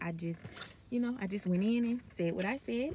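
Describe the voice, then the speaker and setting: A woman talks at a fairly quick pace with lively intonation. The sound is dry with no echo, over light background noise. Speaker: nursing student vlogger. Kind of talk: casual vlog chat. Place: car. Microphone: phone near.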